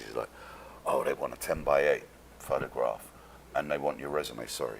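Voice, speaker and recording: Someone with a London accent speaks at a fairly quick pace against noticeable background noise. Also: man. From London, England. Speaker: actor. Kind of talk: casual chat. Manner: animated.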